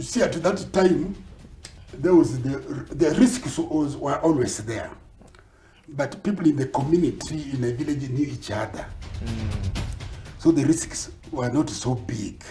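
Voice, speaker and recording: A man's fairly high voice with lively intonation, a fairly slow pace and long, frequent pauses, with music in the background. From Kenya. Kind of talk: interview answer.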